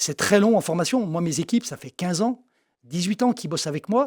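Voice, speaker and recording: A man with a high voice talks very fast, his intonation lively. The recording is very clean with a silent background, and the sound is dry and close with no echo. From eastern France, Jura. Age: 60s. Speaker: optician and shop owner. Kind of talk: interview. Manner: casual, conversational with fillers.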